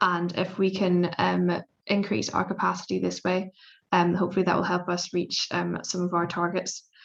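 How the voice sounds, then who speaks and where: A woman speaks in a Belfast accent. Her loudness stays very even. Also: moderate pace. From Northern Ireland, Belfast. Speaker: PhD student in electrical engineering. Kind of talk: panel presentation. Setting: video call webinar. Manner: hesitant, many fillers.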